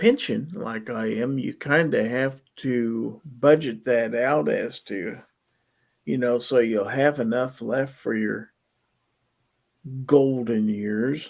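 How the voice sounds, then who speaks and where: A man's medium-pitched voice at a very slow pace, with ordinary pitch variation. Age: 60s. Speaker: livestream chat host. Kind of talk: casual chat.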